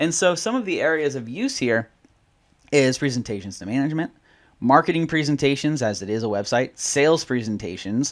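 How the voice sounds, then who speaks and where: A man talks at a fairly quick pace with lively intonation in an unremarkable speaking voice, the background quiet. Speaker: software trainer. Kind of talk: tutorial. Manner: casual. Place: home room.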